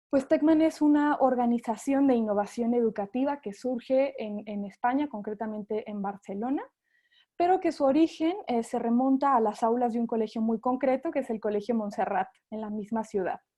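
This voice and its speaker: A woman's high voice in a Mexican accent, dark and mellow in tone, against a quiet background. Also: ordinary pitch variation, moderate pace. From Mexico. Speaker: sales representative for an education company. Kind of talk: webinar presentation. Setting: online webinar. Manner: hesitant, with frequent fillers.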